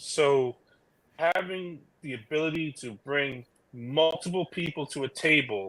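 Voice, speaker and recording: Speaking at a very slow pace, a man with a New York accent uses a fairly high pitch and ordinary pitch variation. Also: very clean recording, silent background. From New York City (Brooklyn). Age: 40s. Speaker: EMS worker and union delegate. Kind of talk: casual chat.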